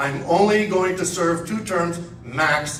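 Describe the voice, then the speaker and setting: A man speaks at a high pitch with ordinary pitch variation. Audible room echo and noticeable background noise fill the recording. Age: 70s. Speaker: congressional candidate. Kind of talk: campaign speech.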